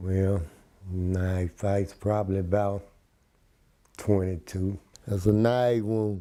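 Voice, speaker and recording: Speaking at a very slow pace with long, frequent pauses, a man with a Memphis accent has a dark, mellow tone and monotone, flat intonation. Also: fairly low pitch for a man. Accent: Southern US, Memphis. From US South, Memphis, Tennessee. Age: 60s. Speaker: former prisoner. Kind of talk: interview testimony.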